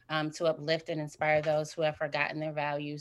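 On a very clean recording with a silent background, a woman with a Midwestern US accent speaks at a very deep, low pitch. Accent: US Midwest. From Indiana, Fort Wayne. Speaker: mental health counseling student and author. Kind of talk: interview. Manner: halting.

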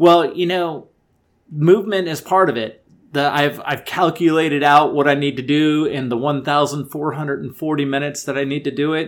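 A man's normal speaking voice, fairly high in pitch, with an American accent, fairly even intonation and a moderate pace, in a very clean recording against a silent background. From US. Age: 50s. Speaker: podcast host and amateur ultrarunner. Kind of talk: solo podcast monologue.

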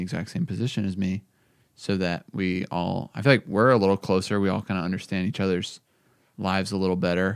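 A man's very deep, low pitch at a fairly quick pace, in a dry, close sound with no echo on a very clean recording with a silent background. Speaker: podcast host and coffee company founder. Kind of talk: casual chat.

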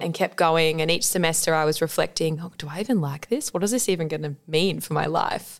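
With an Australian accent, a woman speaks at a fairly quick pace and a fairly low pitch. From Australia, Adelaide. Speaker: dietitian. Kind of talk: casual interview.

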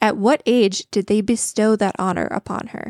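Very cleanly recorded against a silent background, with a dry, close sound and no echo, a woman with an ordinary speaking voice talks at a moderate pace in a fairly high pitch with ordinary pitch variation. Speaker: podcast co-host. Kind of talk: trivia quiz hosting; casual chat.

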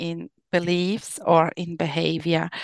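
A woman's fairly low voice with a German accent, dry and close with no echo, on a very clean recording with a silent background. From Austria. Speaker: life coach. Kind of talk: interview. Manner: halting.

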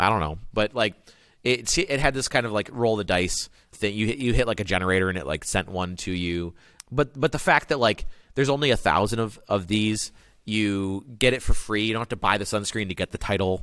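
A man with a normal speaking voice talks at a fairly quick pace in a fairly low register with ordinary pitch variation, captured in a very clean recording with a silent background. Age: 30s. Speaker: head of marketing. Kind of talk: interview. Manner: casual, filler-heavy.

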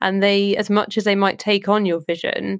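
In a very clean recording with a silent background, a woman with a southern English accent speaks at a medium pitch with fairly even intonation. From southern England, Southampton. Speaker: electronic musician and producer. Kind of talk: casual interview chat.

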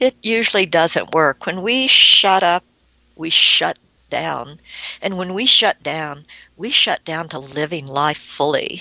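This woman talks at a very slow pace with lively intonation. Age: 60s. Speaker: author and abuse survivor. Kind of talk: interview testimony.

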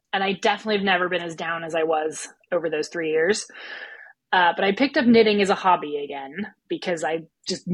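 A woman with an American accent uses a normal speaking voice at a fairly low pitch. Her pace is moderate and her pitch variation is ordinary. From United States. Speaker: small business owner and business coach. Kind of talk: casual interview. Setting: remote call from Germany.

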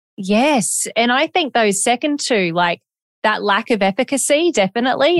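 A woman with an Australian accent, recorded with a dry, close sound and no echo. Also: very clean recording, silent background. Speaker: podcast host. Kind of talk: casual interview.

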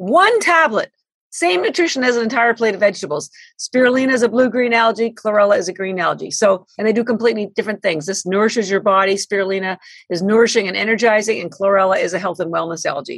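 A woman's fairly high voice, very fast, with an animated tone and lively intonation. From Canada. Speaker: company founder and CEO. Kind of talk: interview.

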